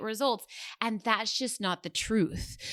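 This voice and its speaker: The woman's fairly high-pitched voice has a bright, sharp tone and a dry, close sound with no echo. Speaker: podcast host and business coach. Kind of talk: solo podcast monologue. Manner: casual, rambling with fillers.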